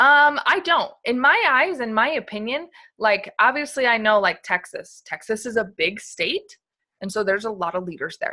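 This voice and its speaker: At a moderate pace, a woman with fairly high pitch and a bright, sharp tone swings her pitch very widely. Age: young. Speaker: network marketing team leader. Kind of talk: sales training talk. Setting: video call. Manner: hesitant, many fillers.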